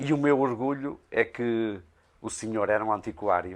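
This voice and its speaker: A man speaks with ordinary pitch variation, and the background is quiet. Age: 60s. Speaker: blacksmith craftsman. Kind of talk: interview. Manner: halting, many hesitations.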